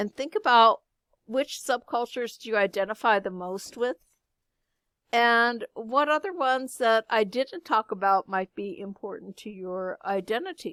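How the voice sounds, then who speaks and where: In an ordinary speaking voice, a woman with a fairly high pitch speaks at a moderate pace, her loudness swinging widely, on a very clean recording with a silent background and a dry, close sound with no echo. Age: 50s. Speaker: high school art teacher. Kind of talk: lecture.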